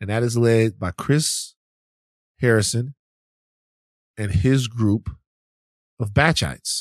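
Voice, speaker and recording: Against a quiet background, a man speaks at a very slow pace with long, frequent pauses and ordinary pitch variation. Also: medium pitch for a man, dry, close sound with no echo. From Louisiana, Baton Rouge area. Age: 40s. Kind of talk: casual chat; political commentary. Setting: studio. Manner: animated.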